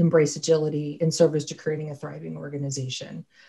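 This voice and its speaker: A woman speaks with an American accent and fairly even intonation. The background is quiet. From US, Pittsburgh, Pennsylvania. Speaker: HR consultant; conference presenter. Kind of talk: conference talk. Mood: warm, friendly. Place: home room. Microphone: webcam.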